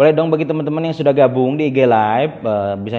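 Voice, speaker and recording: There is noticeable background noise in this clip. Over it, a man speaks at a very fast pace. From West Java, Indonesia (Tasikmalaya). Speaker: Islamic boarding school teacher and live-stream host. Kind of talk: live-stream hosting. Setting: Instagram Live broadcast. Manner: animated.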